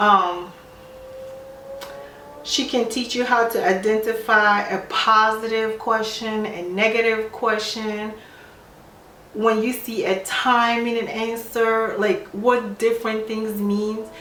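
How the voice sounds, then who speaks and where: Fairly high in pitch, a woman speaks at a very slow pace with fairly even intonation. Her speech has long, frequent pauses, with noticeable background noise. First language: not English. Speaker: nurse. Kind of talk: casual talk to camera.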